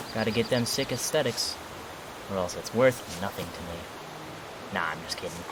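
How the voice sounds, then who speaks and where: The speech moves at a fairly quick pace with long, frequent pauses amid noticeable background noise. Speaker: gaming YouTuber. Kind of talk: gameplay commentary. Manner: casual.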